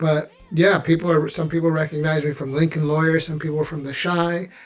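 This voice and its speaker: With music in the background, a man speaks in an American accent at a fairly quick pace. His voice is fairly high and his intonation monotone and flat. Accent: sounds American. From born and raised in the US, Ugandan family. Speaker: actor. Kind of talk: casual interview.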